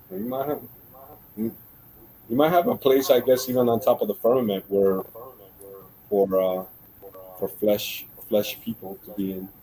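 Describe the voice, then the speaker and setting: At a moderate pace with long, frequent pauses, the speaker talks with a slight Central American accent. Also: man, medium pitch for a man, ordinary pitch variation. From Central America, moved to Florida 1990. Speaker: guest on creationist discussion stream. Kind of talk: casual chat. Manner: casual, many fillers and restarts.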